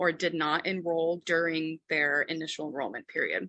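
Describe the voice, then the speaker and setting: A bright, sharp tone with a dry, close sound, no echo and a quiet background. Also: woman. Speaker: insurance specialist. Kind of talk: webinar presentation. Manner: fast.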